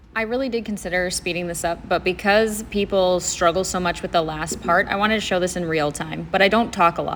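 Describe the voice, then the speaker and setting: With a normal speaking voice, the speaker moves at a fairly quick pace with fairly even intonation and hardly any pauses. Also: woman, medium pitch for a woman. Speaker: crafter narrating her tutorial. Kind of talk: voiceover narration of a tutorial.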